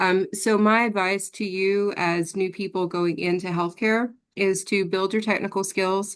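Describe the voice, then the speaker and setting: Her pitch is medium and her intonation monotone and flat. The woman is heard over a quiet background. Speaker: healthcare executive. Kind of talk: panel discussion. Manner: occasional stumbling.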